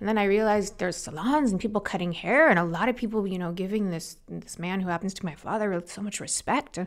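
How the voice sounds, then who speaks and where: A woman's medium-pitched voice at a very fast pace, with hardly any pauses. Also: ordinary pitch variation. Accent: Californian. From Los Angeles, US. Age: 40s. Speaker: beauty entrepreneur. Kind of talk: interview. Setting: studio.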